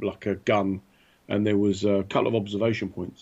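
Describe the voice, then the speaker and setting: Speaking with a British accent, a man uses a fairly low pitch and a fairly quick pace. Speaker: podcast co-host. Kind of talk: casual banter. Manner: animated, joking.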